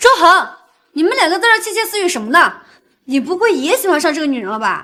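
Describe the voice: A woman uses a put-on character voice at an extremely high pitch, with big pitch swings. Her tone is bright and sharp, and she speaks at a fast pace.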